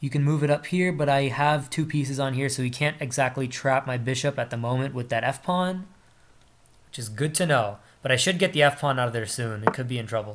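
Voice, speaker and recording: This man has an unremarkable speaking voice, fairly high in pitch, moving at a fairly quick pace with ordinary pitch variation. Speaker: chess streamer. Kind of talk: live game commentary.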